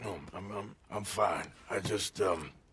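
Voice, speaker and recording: A man's put-on character voice, raspy and fairly low, delivered at a fairly slow pace. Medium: video game. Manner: gruff, halting.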